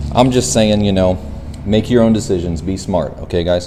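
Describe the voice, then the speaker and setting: Over noticeable background noise and audible room echo, a man with a fairly low voice talks at a fairly quick pace with very wide swings in pitch. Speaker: go-kart and mini bike YouTuber. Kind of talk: DIY tutorial. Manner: casual, conversational.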